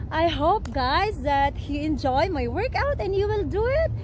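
A woman speaks at a fairly slow pace in a dry sound with no echo, with noticeable background noise. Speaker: fitness vlogger. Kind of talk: casual vlog chat. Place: garden.

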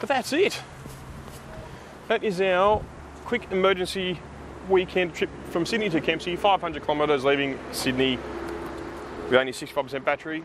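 A man talks at a fairly quick pace in a high pitch with lively intonation. The sound is dry with no echo, though noticeable background noise is present. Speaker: EV owner vlogger. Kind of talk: casual vlog chat. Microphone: phone near.

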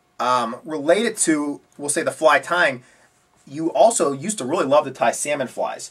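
At a moderate pace, the voice shows ordinary pitch variation against a quiet background. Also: man. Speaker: fly tying instructor. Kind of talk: tutorial host interview. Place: home room. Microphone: camera far.

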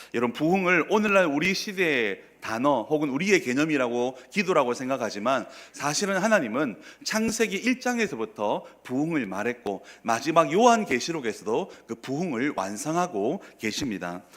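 A fairly high male voice, its pitch swinging very widely. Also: moderate pace. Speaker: pastor. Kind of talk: sermon.

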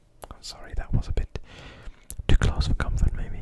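Someone soft-spoken is whispering at a fairly quick pace against noticeable background noise. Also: man. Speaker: ASMR creator. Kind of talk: soft ASMR whisper chat. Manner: soft close-mic ASMR whisper. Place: home room. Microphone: studio mic.

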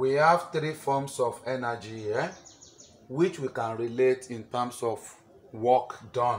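Here a man talks at a fairly slow pace. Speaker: teacher. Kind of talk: lecture. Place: classroom. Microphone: camera far.

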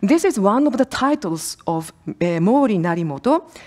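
Very wide pitch swings run through a dark, mellow voice moving at a very slow pace over a quiet background. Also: woman. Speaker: university researcher; conference presenter. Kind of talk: conference presentation. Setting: conference hall with audience. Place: hall. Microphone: podium.

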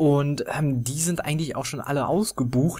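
A man talks at a fairly quick pace, somewhat breathy. The recording is very clean, with a silent background. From Germany. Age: 20s. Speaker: gaming YouTuber. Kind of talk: casual Q&A monologue.

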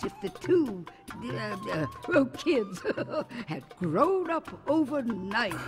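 Against music in the background, a woman speaks very slowly in a playful tone, her fairly high pitch moving in very wide swings. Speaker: voice actor. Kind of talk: cartoon narration. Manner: playful, chatty storyteller.

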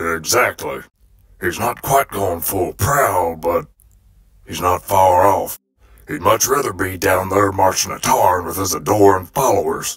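Put-on character voice, raspy in tone. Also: man, very deep, low pitch for a man, fairly slow pace. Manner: blunt, wry.

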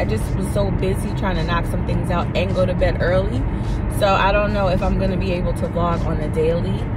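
A woman's voice at a fairly quick pace, dry and echo-free, over loud background noise. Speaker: vlogger. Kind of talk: casual vlog chat. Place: car. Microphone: phone near.

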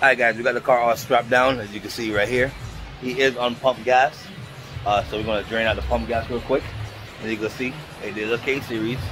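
Over music in the background, a man talks at a fairly quick pace in a flat, monotone way. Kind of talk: casual vlog chat. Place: workshop. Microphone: phone near.

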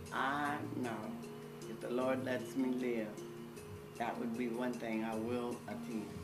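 Loud background noise surrounds a woman who speaks at a very slow pace. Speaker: interviewee recalling a family friend. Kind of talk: interview answer. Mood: warm, fond, reminiscing. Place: home room.

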